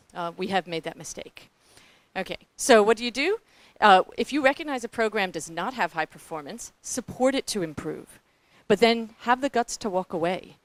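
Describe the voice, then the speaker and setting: In a New Zealand accent, the speaker sounds animated, with lively intonation and a dry, close sound with no echo. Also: woman, fairly high pitch for a woman, moderate pace. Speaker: philanthropic foundation staff, panelist. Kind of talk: panel presentation.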